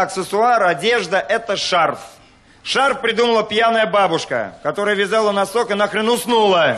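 The man's high-pitched voice moves at a moderate pace, with ordinary pitch variation. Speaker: stand-up comedian. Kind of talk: stand-up comedy monologue. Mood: deadpan, mock-serious. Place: stage. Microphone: handheld.

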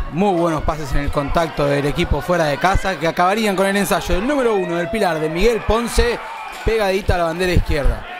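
Over noticeable background noise, a man with a high-pitched voice speaks in an animated tone. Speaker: match commentator and video editor. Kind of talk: sports commentary. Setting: voiceover over match footage. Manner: animated, fast play-by-play delivery.

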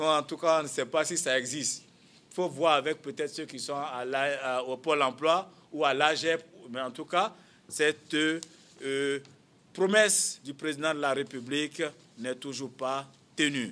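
A man's bright, sharp tone at a fairly slow pace. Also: ordinary pitch variation. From Côte d'Ivoire. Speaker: politician, former student leader; politician. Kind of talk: press conference. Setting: press conference room. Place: meeting room.

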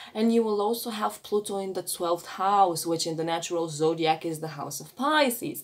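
A woman with a non-native accent speaks at a moderate pace, her fairly low pitch showing ordinary pitch variation. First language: not English. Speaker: astrology reader. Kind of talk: astrology reading. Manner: halting, with frequent fillers. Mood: warm, animated. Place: home room. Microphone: phone near.

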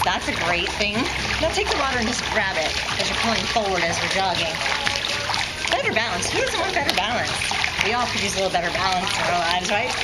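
A woman at a fairly quick pace with music in the background. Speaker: fitness instructor. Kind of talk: tutorial. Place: waterside. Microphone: camera far.

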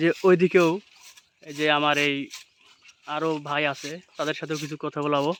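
A man's fairly high voice holds a monotone, flat intonation. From Rajshahi, Bangladesh. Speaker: vlogger. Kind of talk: vlog with on-site interviews. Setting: outdoors.

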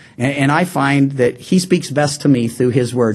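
This man has a fairly high pitch and talks at a very fast pace. Noticeable background noise runs underneath. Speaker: pastor. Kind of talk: sermon. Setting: church. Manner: fast talker.

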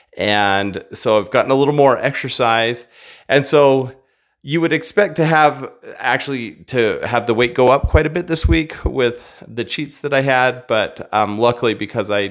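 The background is quiet. A man talks at a moderate pace with ordinary pitch variation. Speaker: vlogger. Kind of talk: casual vlog chat. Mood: relaxed, reflective. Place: home room. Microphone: studio mic.

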